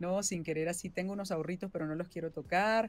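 A woman speaks at a fairly low pitch with fairly even intonation. The sound is dry, with no echo. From Venezuela. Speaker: voice actress and singer-songwriter. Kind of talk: interview answer. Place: home room.

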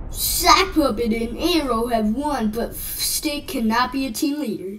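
A cartoonish character voice, female-sounding and high in pitch, speaks at a fairly slow pace amid clear background noise.

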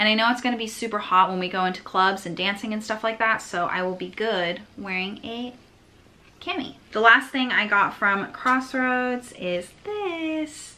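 Speaking at a moderate pace, a woman lets her pitch vary in an ordinary way. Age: 20s. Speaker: lifestyle vlogger. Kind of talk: vlog haul, casual talk to camera. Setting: at home, filming to camera. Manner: animated. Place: home room. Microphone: phone near.

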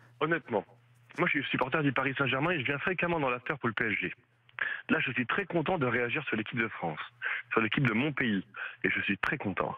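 The intonation is lively and the pace fairly quick. Long pauses come often, and the loudness stays very even. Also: man, medium pitch for a man. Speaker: radio caller, football fan. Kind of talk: call-in opinion.

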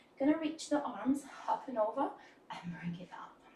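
A high-pitched woman's voice at a moderate pace, with audible echo in the room. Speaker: dance instructor. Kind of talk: tutorial. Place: studio.

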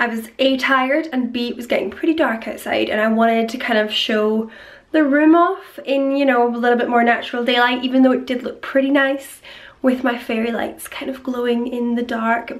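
Upbeat in tone, a woman with a Scottish accent talks at a fairly quick pace and a high pitch. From Scotland. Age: 20s. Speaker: vlogger. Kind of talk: casual talk to camera. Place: home room. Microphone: phone near.

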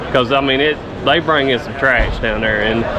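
A man talks at a moderate pace with ordinary pitch variation. There is clear background noise behind him.

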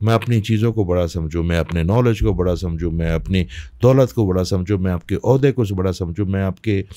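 A man speaks with a very deep, low pitch and a dark, mellow tone, using ordinary pitch variation. The sound is dry with no echo, over a quiet background. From Pakistan, Peshawar; Pakistan. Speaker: spiritual healer; podcast guest. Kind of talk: interview. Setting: studio. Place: studio. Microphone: studio mic.

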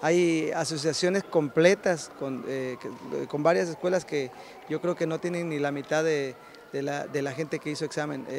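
A man talks at a fairly slow pace with long, frequent pauses and fairly even intonation. The sound is dry with no echo, and light background noise is present. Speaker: taekwondo instructor. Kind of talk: interview answer. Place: hall. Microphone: handheld.

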